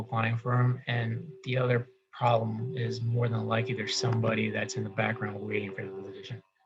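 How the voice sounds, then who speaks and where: A man speaks in a medium-pitched, somewhat breathy voice. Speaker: government employee giving career advice. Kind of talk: career workshop walkthrough. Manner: fast; halting.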